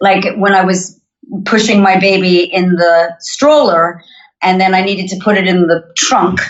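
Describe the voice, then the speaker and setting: A woman with a North American accent talks at a fairly slow pace in a plain, everyday voice of medium pitch. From Montreal, Canada. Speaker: singer-songwriter. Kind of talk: podcast interview.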